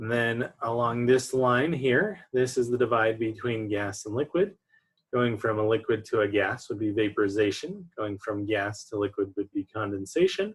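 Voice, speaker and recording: Here a man speaks at medium pitch with ordinary pitch variation. His voice is somewhat breathy and his pace moderate. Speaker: chemistry lecturer. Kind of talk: online lecture. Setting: recorded online lecture with slides.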